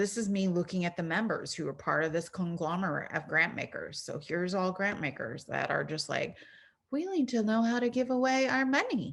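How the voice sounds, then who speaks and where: A woman's bright, sharp tone at medium pitch, with an American accent, lively intonation and a quiet background. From US West Coast, San Diego. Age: 40s. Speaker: arts administrator and workshop presenter. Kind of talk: online workshop talk. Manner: casual, animated.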